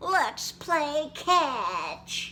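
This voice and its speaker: Clear background noise runs under the clip. A woman uses a put-on character voice at an extremely high pitch. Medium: read story.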